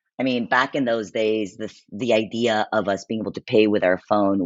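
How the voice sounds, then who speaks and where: This man's voice sits at a fairly low pitch with fairly even intonation. He keeps a moderate pace. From immigrated to the US at age eight. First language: not English. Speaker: payments and fintech executive. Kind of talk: podcast interview.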